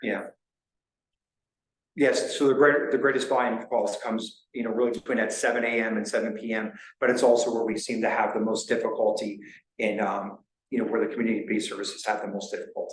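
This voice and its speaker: A man talks at a very fast pace in a New Jersey accent. There is audible room echo. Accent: New Jersey American. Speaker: county emergency services official. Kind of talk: public meeting presentation. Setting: town board meeting.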